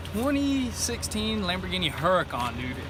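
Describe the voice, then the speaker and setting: Over noticeable background noise and audible room echo, a man talks at a moderate pace in a high pitch with very wide pitch swings. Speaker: car rebuild vlogger. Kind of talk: casual chat. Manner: stuttering.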